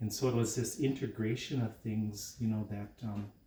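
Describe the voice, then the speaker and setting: Speaking at a fairly slow pace, a man with an American accent has a dark, mellow tone, a fairly low pitch and a somewhat breathy sound. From northern Wisconsin, Ojibwe reservation community. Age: 60s. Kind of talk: casual talk while cooking, cultural teaching. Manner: halting, many fillers.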